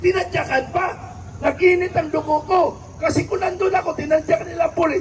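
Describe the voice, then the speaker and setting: An extremely high male voice, monotone and flat, at a fairly quick pace with noticeable background noise. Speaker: political commentator. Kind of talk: political speech to viewers. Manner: not raising voice, for clarity.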